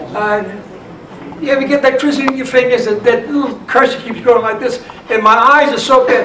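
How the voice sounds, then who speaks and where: Noticeable background noise sits behind a man with an extremely high pitch, fairly even intonation and a moderate pace. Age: 80s+. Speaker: entertainer, clarinet player. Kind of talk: casual talk to a live audience.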